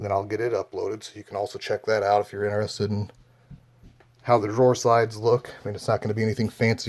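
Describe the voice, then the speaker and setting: A man talks very fast. His intonation stays flat and monotone. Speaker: DIY furniture vlogger. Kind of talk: casual DIY tutorial. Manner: heavy breathing; casual, hesitant with fillers.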